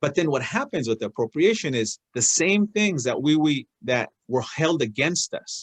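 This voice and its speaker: A man with a Spanish accent, lively intonation and hardly any pauses, in a dry, close sound with no echo. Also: moderate pace. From Oregon, US (Willamette Valley). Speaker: guest speaker, elected official, small business owner. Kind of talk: personal talk on a video call. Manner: hesitant, many fillers and restarts.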